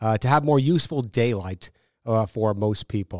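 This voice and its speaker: An ordinary speaking voice with an American accent moves at a moderate pace with ordinary pitch variation, on a very clean recording with a silent background. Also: man. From northern US. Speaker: TV meteorologist. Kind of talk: casual chat. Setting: studio.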